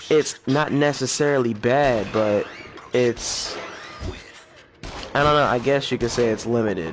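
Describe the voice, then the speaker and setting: Over noticeable background noise, a man at a medium pitch speaks with ordinary pitch variation and long, frequent pauses. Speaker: gaming YouTuber. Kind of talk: casual gameplay commentary. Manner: low-energy, subdued.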